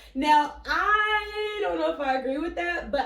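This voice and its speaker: Very wide pitch swings in an American accent, with audible room echo. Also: woman. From Philadelphia and Florida. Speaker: travel vlog host. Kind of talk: travel vlog presenting.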